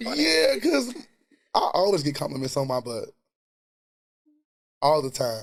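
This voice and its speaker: This man's voice is breathy, with a fairly high pitch and lively intonation. He speaks at a fairly slow pace with long, frequent pauses. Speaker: chef and reality TV personality. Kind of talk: casual interview chat. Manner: distinctive, labored way of talking.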